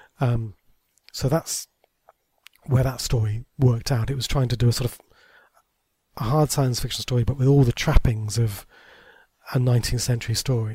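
A man with a dark, mellow, somewhat breathy tone and medium pitch talks at a moderate pace, with fairly even intonation, big swings in loudness and long, frequent pauses. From Somerset, England (Taunton). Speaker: TV and audio drama writer. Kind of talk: casual interview. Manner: hesitant, many fillers.

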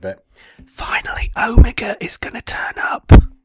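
A man puts on a raspy character voice. He delivers it at a moderate pace. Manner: whispering.

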